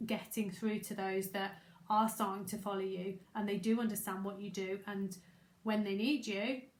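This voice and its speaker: Noticeable noise sits in the background. Over it, a woman talks at a moderate pace. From Staffordshire, English Midlands. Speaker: business coach. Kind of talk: live masterclass webinar. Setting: livestream. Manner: casual, conversational.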